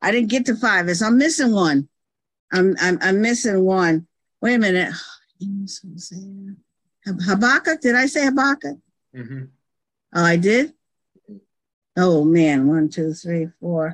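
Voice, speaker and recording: A woman speaks at a fairly slow pace in a medium pitch with very wide pitch swings. She leaves long, frequent pauses. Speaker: pastor. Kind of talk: quiz game. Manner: excitable.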